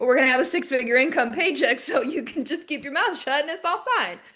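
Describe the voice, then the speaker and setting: A woman talks very fast in a high, raised and projected voice. Her intonation is lively, with noticeable background noise. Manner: fast talker.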